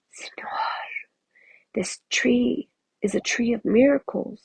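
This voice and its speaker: A man's put-on character voice, raspy and hissing. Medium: read story.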